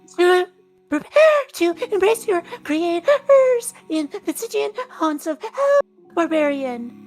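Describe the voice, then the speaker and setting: Over faint background music, a breathy, put-on character voice with extremely high pitch and very wide pitch swings moves at a fairly slow pace. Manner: gasping.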